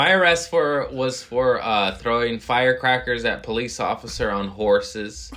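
A man at a moderate pace with hardly any pauses. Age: 30s. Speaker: comedian. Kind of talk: casual chat.

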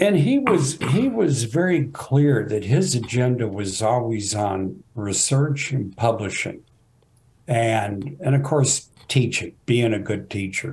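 A man with an American accent speaks at a very slow pace. His voice is somewhat breathy, with lively intonation. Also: medium pitch for a man. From Texas, Fort Worth. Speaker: geography professor. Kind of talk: interview.

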